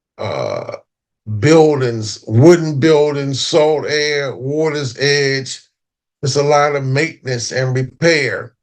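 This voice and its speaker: A man speaks at a very slow pace. His pitch is fairly high. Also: fairly even intonation. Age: 70s. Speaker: historian and foundation founder. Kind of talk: interview talk.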